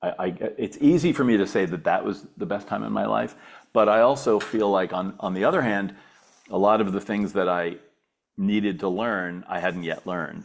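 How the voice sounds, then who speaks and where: On a very clean recording with a silent background, a man speaks with vocal fry and ordinary pitch variation. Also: fairly low pitch for a man, moderate pace. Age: 60s. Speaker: business advisor. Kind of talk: interview. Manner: halting, many repetitions.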